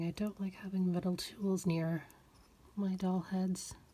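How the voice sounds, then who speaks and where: Quiet and somewhat breathy, the voice has a dark, mellow tone, a monotone, flat intonation, very even loudness and a fairly slow pace. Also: woman. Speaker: doll collector YouTuber. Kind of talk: tutorial.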